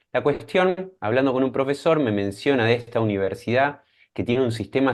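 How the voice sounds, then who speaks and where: A man speaks with an Argentine accent. His pace is moderate. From Argentina, Mar del Plata. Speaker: scientist and startup founder. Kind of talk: interview.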